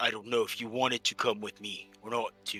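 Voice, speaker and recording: Quietly, a man performs a put-on character voice at a moderate pace while clear music plays in the background. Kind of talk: casual, uncertain. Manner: hushed, quiet.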